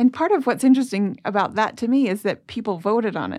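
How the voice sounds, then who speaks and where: A plain, everyday voice from a woman, fairly quick in pace and lively in intonation. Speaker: historian. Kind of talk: casual interview.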